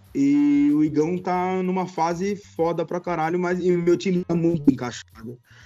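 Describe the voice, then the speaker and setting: A man's high pitch and fairly even intonation at a moderate pace, with hardly any pauses and music in the background. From Brazil, São Paulo. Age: 20s. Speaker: YouTube football goalkeeper. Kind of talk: casual chat.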